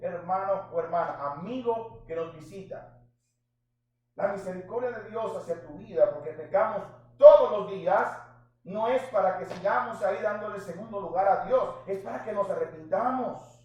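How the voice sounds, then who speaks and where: Pitched high for a man, this man's voice moves at a moderate pace with ordinary pitch variation and audible room echo. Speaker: pastor. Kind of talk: sermon. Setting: church. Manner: animated.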